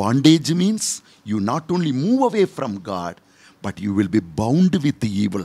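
With a dark, mellow tone and medium pitch, this man talks at a moderate pace, his pitch rising and falling across a very wide range. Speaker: priest. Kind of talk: sermon with story and closing prayer; fervent prayer. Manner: earnest, pleading, devout. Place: studio. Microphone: studio mic.

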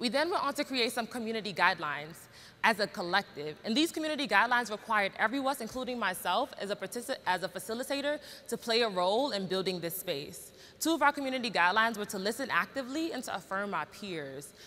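Talking very fast with a bright, sharp tone, a woman with an American accent uses a fairly high pitch and very wide pitch swings. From Brooklyn, New York; New York. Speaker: educator and spoken word poet; educator, spoken word poet. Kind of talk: conference talk. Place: stage. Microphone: lapel.

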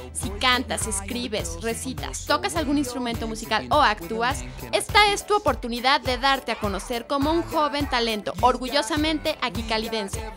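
A woman with an upbeat tone at a moderate pace, with music in the background. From Mexico. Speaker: actress, host and voice-over artist. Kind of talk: youth radio show hosting. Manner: upbeat, friendly.

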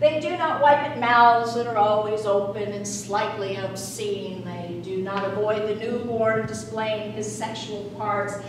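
Over noticeable background noise and strong room echo, a woman with an American accent speaks fairly slowly in a fairly high pitch with ordinary pitch variation. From Salt Lake City, Utah. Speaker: performance poet. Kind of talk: poetry reading. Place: meeting room.

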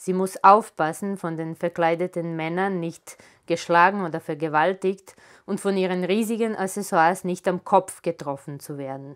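A woman talks at a fairly slow pace in an ordinary speaking voice. Her pitch is medium with ordinary variation, and the background is quiet. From Serbia, Belgrade. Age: 40s. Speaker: author. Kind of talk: author reading her own literary prose aloud to a live audience. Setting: live reading event in a photo gallery. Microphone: lapel.

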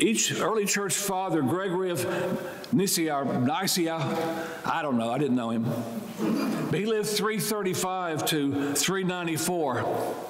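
Room echo is audible on this clip. The words come at a fairly slow speed. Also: man. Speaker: priest. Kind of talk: sermon. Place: church. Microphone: lapel.

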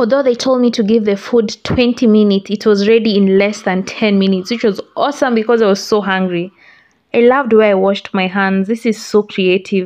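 A woman talks at a moderate pace with fairly even intonation and very even loudness. The background is quiet. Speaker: food vlogger. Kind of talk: casual vlog chat. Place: cafe. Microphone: phone near.

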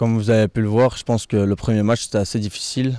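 A man with a dark, mellow tone and fairly low pitch talks at a fairly quick pace in a monotone, flat intonation, with dry sound and no echo. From Belgium. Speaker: football player. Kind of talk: post-match style interview. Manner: halting, many hesitations. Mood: calm, proud. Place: garden. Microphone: handheld.

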